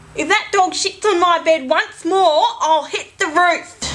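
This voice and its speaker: A woman's raised, projected voice at an extremely high pitch, with an Australian accent, a fairly slow pace and noticeable background noise. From Australia, Sydney. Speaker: vlogger. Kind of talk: casual vlog chat. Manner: halting, self-correcting.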